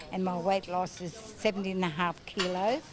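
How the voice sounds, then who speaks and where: This woman talks at a fairly quick pace with a medium pitch and an Australian accent. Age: 70s. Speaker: gym client. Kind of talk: testimony.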